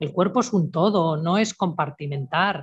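Recorded dry and close with no echo, a woman speaks in a somewhat breathy, fairly low voice. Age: 60s. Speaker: natural health therapist. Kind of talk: interview.

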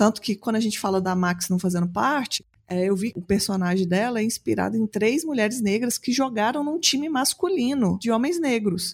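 Fairly high in pitch and somewhat breathy, a woman talks at a fairly quick pace. Her intonation is lively, and the recording is very clean with a silent background. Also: very even loudness. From Belo Horizonte, Brazil. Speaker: podcast host. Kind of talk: casual chat.

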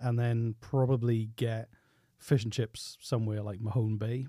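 A man with a Welsh accent speaks at a moderate pace and a medium pitch in a dark, mellow tone, on a very clean recording with a silent background. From Wales. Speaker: podcast producer. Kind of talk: casual chat. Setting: studio.

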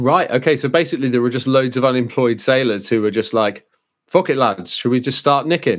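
Speaking in a British accent, a man talks at a fairly quick pace and medium pitch with ordinary pitch variation. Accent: British, contrasts with Brummie. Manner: casual, jokey.

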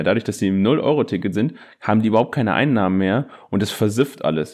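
Over a quiet background, a man with an unremarkable speaking voice talks at a fairly low pitch with lively intonation. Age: 20s. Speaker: podcast co-host and teacher. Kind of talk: casual chat. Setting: remote recording.

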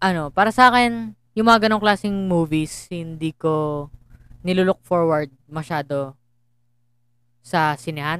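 In a very clean recording with a silent background, a woman speaks at a fairly slow pace with fairly low pitch. She has an ordinary speaking voice with ordinary pitch variation. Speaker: podcast co-host. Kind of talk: casual chat.

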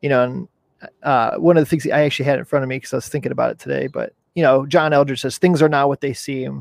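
A man talks in a plain, everyday voice with a fairly high pitch and fairly even intonation. The sound is dry and close, with no echo. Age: 30s. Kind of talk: casual interview. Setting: video call, outdoors.

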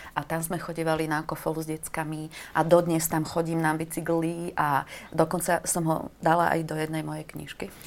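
Over noticeable background noise, the speech moves at a moderate pace in a flat monotone. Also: woman, very deep, low pitch for a woman. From eastern Slovakia, Košice. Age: 50s. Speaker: writer. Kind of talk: casual chat. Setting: studio.

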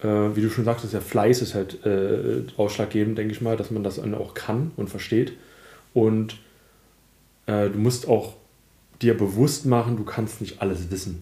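Long, frequent pauses break up a man's speech. His pitch is fairly low and his intonation fairly even. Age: 30s. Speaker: IT consultant, podcast host. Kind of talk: casual chat. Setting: home recording, sitting on the floor.

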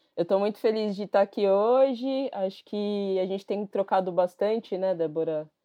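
A woman with a normal speaking voice and a medium pitch talks at a moderate pace with ordinary pitch variation and hardly any pauses. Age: 30s. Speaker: human rights activist. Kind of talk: interview.

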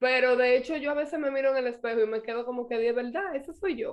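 A woman's high-pitched voice with a Dominican accent. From Dominican Republic. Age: 30s. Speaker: mother and public figure. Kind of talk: interview.

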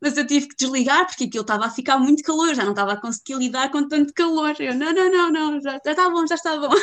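A woman speaks at a very fast pace with a European Portuguese accent and hardly any pauses. Her pitch is high with ordinary variation, and her loudness swings widely. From Portugal, Viseu. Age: 20s. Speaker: expat living in Iceland, former travel agent. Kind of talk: casual interview.

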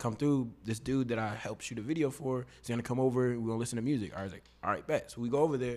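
A man with an American accent at a very fast pace, medium pitch and monotone, flat intonation. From Katy, Texas (Houston area). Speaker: singer and rapper. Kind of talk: casual interview chat. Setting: studio.

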